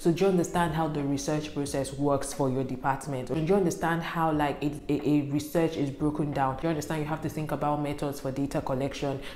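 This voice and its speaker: The speech comes at a very fast pace. There is audible room echo and light background noise. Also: woman. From northern Nigeria, Kaduna State. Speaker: YouTuber, student advice; YouTuber. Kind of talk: tutorial. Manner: animated. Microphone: lapel.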